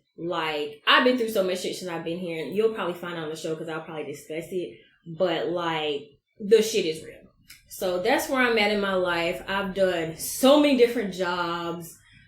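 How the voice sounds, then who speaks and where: Amid audible room echo, a woman with an American accent speaks in an animated tone at a fairly low pitch, with lively intonation and big swings in loudness. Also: moderate pace. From US South, Georgia (Albany, then Atlanta). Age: 30s. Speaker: podcast host. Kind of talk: casual monologue.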